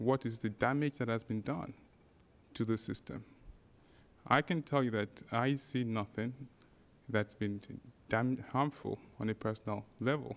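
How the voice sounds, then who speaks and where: At a moderate pace, a man with a non-native accent talks in a medium pitch with ordinary pitch variation. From Nigeria. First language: not English. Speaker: parent speaking at public comment. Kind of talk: public comment at board meeting. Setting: school board meeting. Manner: formal.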